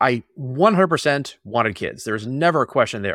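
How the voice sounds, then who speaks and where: A man with an American accent talks at a very fast pace. The sound is dry and close with no echo, on a very clean recording with a silent background. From Boston area, Massachusetts. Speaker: tech product executive and stay-at-home parent. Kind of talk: casual interview conversation.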